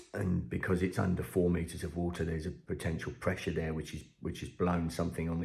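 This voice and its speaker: Speaking with an English accent, a man's very deep, low voice comes somewhat breathy, with fairly even intonation at a fairly quick pace. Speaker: fishery owner. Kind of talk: vlog to camera. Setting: at home, early morning. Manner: quiet; hesitant, many ums.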